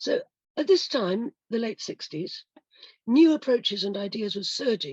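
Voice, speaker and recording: A woman speaks in a fairly high, somewhat breathy voice at a fairly slow pace, her pitch swinging very widely, in a dry, close sound with no echo. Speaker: historian. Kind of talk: prepared lecture. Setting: video call.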